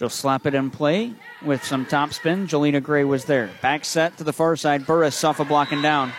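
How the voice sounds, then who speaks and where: Amid noticeable background noise, a man speaks at very even loudness in a fairly high pitch with ordinary pitch variation. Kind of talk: live play-by-play commentary. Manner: rapid-fire, excited, quick score-calling; self-correcting on the fly.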